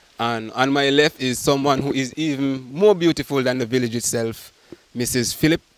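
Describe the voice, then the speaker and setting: A man talks at a moderate pace with a fairly high pitch. Noticeable background noise runs underneath. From St Kitts. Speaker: interviewer. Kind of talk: field interview.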